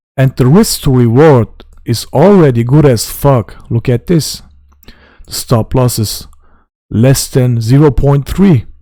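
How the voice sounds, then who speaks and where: Speaking with a non-native accent, a man of medium pitch moves at a fairly slow pace with long, frequent pauses, ordinary pitch variation and a dark, mellow tone. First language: not English; German and Turkish. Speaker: crypto trading youtuber. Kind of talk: trading tutorial. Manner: casual.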